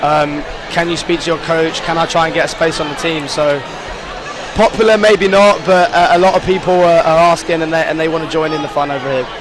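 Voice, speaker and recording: Over noticeable background noise, a man with a high voice talks at a fairly quick pace with fairly even intonation. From England. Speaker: college soccer player. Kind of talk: interview.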